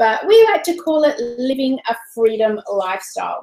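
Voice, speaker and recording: A high-pitched woman with an Australian accent at a fairly slow pace. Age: 40s. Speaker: online business coach. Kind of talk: webinar presentation. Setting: live stream. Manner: animated.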